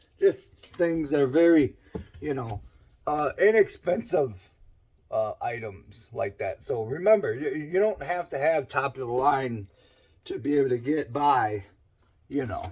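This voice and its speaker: Somewhat breathy and fairly high in pitch, a man's voice carries lively intonation broken by long, frequent pauses. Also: fairly slow pace. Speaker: small engine mechanic. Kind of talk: casual talk to camera.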